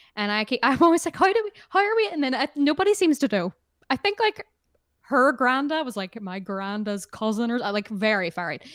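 A woman speaks fairly quickly in a high voice with very wide pitch swings, and the sound is dry and close with no echo. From Northern Ireland. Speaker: musician. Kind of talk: casual interview. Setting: video call, remote interview.

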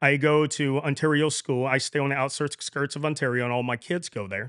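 At a fairly quick pace, a man with an American accent and a fairly high pitch speaks in a dry, close sound with no echo. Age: 40s. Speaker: training coordinator. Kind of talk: casual interview. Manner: animated.

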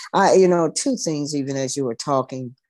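A solemn tone against a quiet background. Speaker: preacher. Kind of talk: prayer and preaching. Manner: fervent, rhythmic repetition, solemn.

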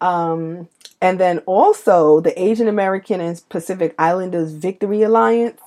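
On a very clean recording with a silent background, a woman with a New York accent talks at a moderate pace in a fairly low pitch, with ordinary pitch variation. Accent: New York City. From New York City (Brooklyn). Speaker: podcast co-host. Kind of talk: casual chat.

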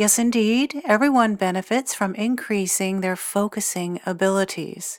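In a very clean recording with a silent background and a dry, close sound with no echo, a woman with a normal speaking voice talks at a medium pitch and fairly slow pace with ordinary pitch variation. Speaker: psychic medium and meditation guide. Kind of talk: guided meditation. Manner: slow, soothing, calm and gentle, with long pauses; hushed, hypnotic, unhurried cadence.

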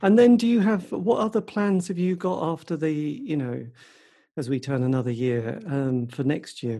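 The background is quiet as a man with an English accent talks at a moderate pace. His dark, mellow tone moves in very wide pitch swings. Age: 50s. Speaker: podcast host. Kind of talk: casual interview.

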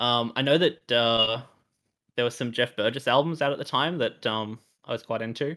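Here a man talks with an Australian accent. His pace is moderate and his pitch variation ordinary. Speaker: musician. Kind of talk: interview, casual chat.

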